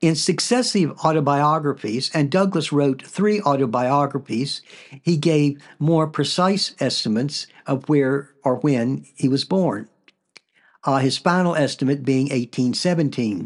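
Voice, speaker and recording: A man speaks at a fairly slow pace with a fairly high pitch and ordinary pitch variation. His loudness is very even, and the background is quiet. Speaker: podcast host. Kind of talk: scripted narration. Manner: plain natural reading voice.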